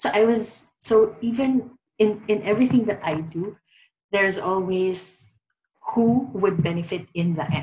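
A woman speaks at a fairly slow pace and a medium pitch, somewhat breathy. Her pitch varies in an ordinary way. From Philippines. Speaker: reiki practitioner, COVID survivor. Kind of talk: interview.

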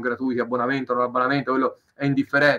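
A man with a fairly high-pitched voice. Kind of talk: interview. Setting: live stream. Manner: fast.

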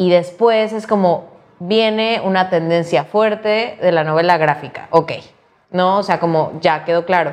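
This woman has a normal speaking voice with a fairly low pitch. She talks at a fairly slow pace. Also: ordinary pitch variation. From Mexico, Cancún. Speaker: youth fiction editor. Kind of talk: casual chat. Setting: office.

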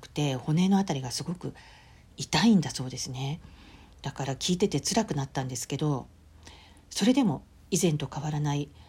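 In a very clean recording with a silent background, a woman with a very deep, low pitch speaks at a moderate pace, somewhat breathy and with lively intonation. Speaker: podcast host. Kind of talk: solo diary-style podcast monologue.

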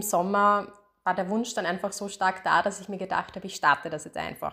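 A woman's medium-pitched, unremarkable speaking voice at a moderate pace. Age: 30s. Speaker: podcast host, psychologist. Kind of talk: solo podcast introduction. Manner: casual with frequent fillers.

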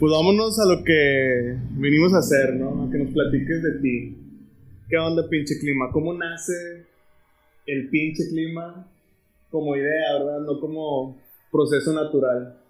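A man at a fairly slow pace, with ordinary pitch variation and audible room echo. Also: fairly high pitch for a man. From Monterrey, Mexico. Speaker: podcast host. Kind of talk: casual chat.

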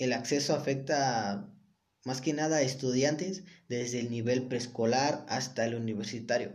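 A man with a Mexican accent speaks at a medium pitch and a very slow pace. Some room echo can be heard. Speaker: student. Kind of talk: reading summary presentation. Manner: halting when speaking unscripted.

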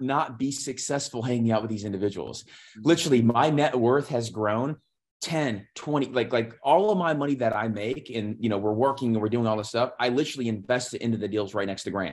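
A man with medium pitch and ordinary pitch variation talks in an ordinary speaking voice against a quiet background. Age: 30s. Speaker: fund manager, former airline pilot. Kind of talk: interview. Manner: repeats words, fast run-on speech.

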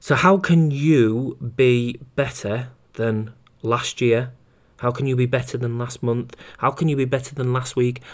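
A man speaks with a British accent. His intonation is fairly even. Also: medium pitch for a man. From UK. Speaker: running coach and podcast host. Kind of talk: solo podcast monologue. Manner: fast.

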